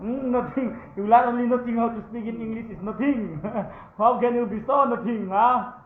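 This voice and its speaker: A man talks at a moderate pace with an extremely high pitch and fairly even intonation, his loudness swinging widely. Audible room echo and noticeable background noise surround him. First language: Mizo. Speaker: vlogger. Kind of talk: casual vlog. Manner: halting, frequent hesitations.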